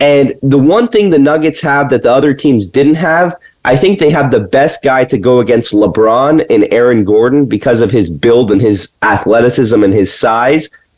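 In a plain, everyday voice, a man speaks at a medium pitch and a moderate pace with lively intonation, very even loudness and hardly any pauses. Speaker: sports podcast co-host. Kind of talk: casual sports talk.

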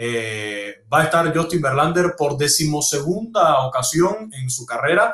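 Using a normal speaking voice, a fairly high-pitched man talks at a fairly slow pace with lively intonation and hardly any pauses. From Cuba. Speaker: sports radio host. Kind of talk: casual sports discussion.

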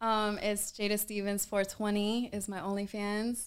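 A woman with an American accent talks at a medium pitch and a fairly slow pace in a plain, everyday voice. The recording is very clean, with a silent background. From Atlanta, US South. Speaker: adult film performer. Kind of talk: casual interview chat. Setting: convention venue.

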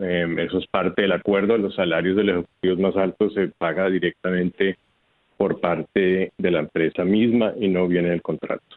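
Monotone, flat intonation at a moderate pace, with very even loudness. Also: man, very deep, low pitch for a man. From Colombia, Bogotá. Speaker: electric utility executive. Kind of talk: radio interview. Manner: halting.

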